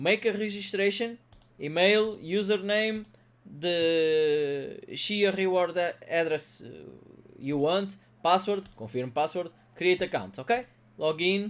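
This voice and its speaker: This man has a high-pitched voice and a very slow pace. His speech is broken by long, frequent pauses. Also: ordinary pitch variation. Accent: Portuguese. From Portugal. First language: Portuguese. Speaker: crypto mining youtuber. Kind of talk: tutorial. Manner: halting, many fillers.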